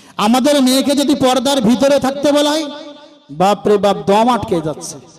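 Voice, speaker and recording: A man's extremely high-pitched voice with lively intonation, over noticeable background noise. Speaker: Islamic scholar giving a sermon. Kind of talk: Islamic sermon (waz) to a crowd, rhetorical questions. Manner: emphatic, preaching, repetitive, call-and-response style.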